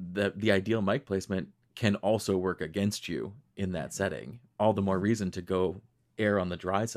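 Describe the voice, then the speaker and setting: In an ordinary speaking voice, a man with an American accent talks at a fairly low pitch and a moderate pace on a very clean recording with a silent background. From Western New York, Rochester. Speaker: podcast host and singer. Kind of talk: interview.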